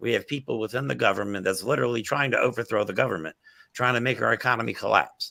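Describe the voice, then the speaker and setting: A man talks at a very fast pace with vocal fry. His tone is bright and sharp, with ordinary pitch variation. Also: medium pitch for a man. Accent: American. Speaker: political talk show host. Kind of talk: casual political discussion. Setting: office. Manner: loud; animated.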